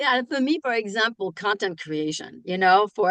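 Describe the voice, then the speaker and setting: A woman speaks in a French accent. The sound is dry and close with no echo, and the background is quiet. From France. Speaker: keynote speaker and author. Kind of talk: casual chat.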